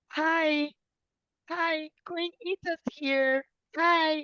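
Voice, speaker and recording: Squeaky and extremely high, a woman's put-on character voice stays monotone and flat, with a dry, close sound and no echo. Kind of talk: proper, polite.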